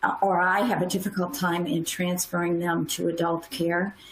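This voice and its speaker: A woman speaks with an American accent over noticeable background noise. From US Midwest. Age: 60s. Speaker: pediatric neurologist. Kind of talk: panel discussion.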